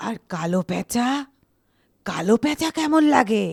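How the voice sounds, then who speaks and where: The speaker uses a put-on character voice. The pitch sits fairly high. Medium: audio drama. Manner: eerie, insinuating.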